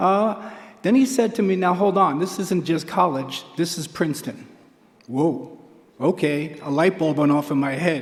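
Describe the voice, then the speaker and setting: Against noticeable background noise, a man with a high pitch speaks at a fairly slow pace with lively intonation. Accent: New York. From Queens, New York. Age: 70s. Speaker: track coach. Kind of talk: acceptance speech.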